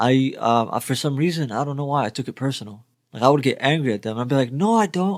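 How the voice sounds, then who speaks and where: A man speaks very fast with a slight Arabic accent, his pitch fairly high and his intonation lively. The recording is very clean, with a silent background. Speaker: music reaction youtuber. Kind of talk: reaction video commentary.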